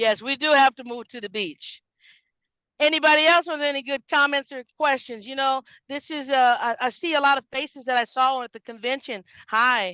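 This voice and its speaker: A woman with a high pitch uses a raised, projected voice with a bright, sharp tone and an animated delivery. Her pace is moderate, her pitch varies in an ordinary way, and her loudness swings widely in a dry, close sound with no echo. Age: 50s. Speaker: network marketing team leader. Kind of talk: motivational talk on video call. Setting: video call.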